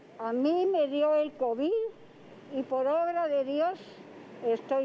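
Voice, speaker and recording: Against noticeable background noise, a woman speaks at a high pitch with ordinary pitch variation. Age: 80s+. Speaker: retired pensioner. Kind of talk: interview soundbite. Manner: pleading.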